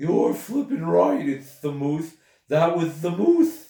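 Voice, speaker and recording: A man speaks in a put-on character voice with a growl. The voice is high-pitched and unfolds at a fairly slow pace. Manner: growling, indignant.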